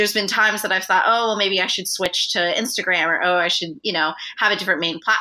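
This woman's voice has a bright, sharp tone at a medium pitch, with ordinary pitch variation. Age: 20s. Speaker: university student and content strategist. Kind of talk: interview.

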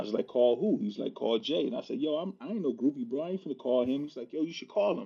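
At a very fast pace with hardly any pauses, a man speaks at a fairly high pitch that swings very widely. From US Midwest (Milwaukee). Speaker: community organizer and sneakerhead. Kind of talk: casual chat.

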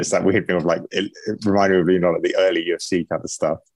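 In a southern English accent, a man talks at a very fast pace, the sound dry and close with no echo. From England. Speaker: MMA fighter and gym owner. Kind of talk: casual interview.

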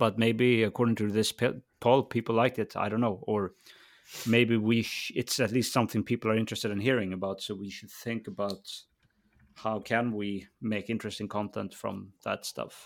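Recorded very cleanly against a silent background, a man with a normal speaking voice talks at a fairly quick pace, his fairly low pitch held in fairly even intonation. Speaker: podcast co-host. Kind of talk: casual chat.

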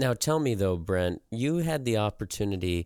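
There is a dry, close sound with no echo as a man with an American accent speaks at a moderate pace. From US Midwest, southeast Nebraska. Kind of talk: interview.

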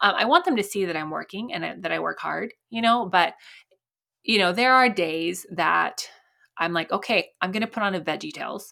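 A woman speaks at a medium pitch and moderate pace with vocal fry and a bright, sharp tone. Her pitch varies normally, and the recording is very clean with a silent background. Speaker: SEO consultant and podcast host. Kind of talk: interview. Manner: animated.

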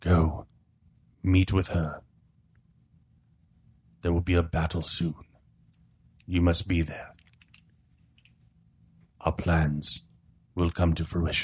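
A man's put-on character voice, very deep, low and rumbling, monotone with flat intonation, fairly slow, with long, frequent pauses.

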